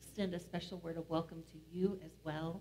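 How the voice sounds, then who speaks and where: A woman's voice is heard. Her pace is moderate. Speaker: pastor leading worship. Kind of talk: worship announcements. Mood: warm, welcoming. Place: church.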